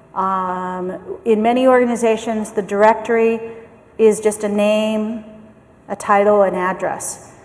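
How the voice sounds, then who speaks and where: A woman with a General American accent speaks fairly slowly at a fairly high pitch, her intonation monotone and flat, with audible room echo around her. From US, San Francisco. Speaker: management consultant. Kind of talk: conference keynote talk; audience Q&A answers. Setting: conference stage with audience.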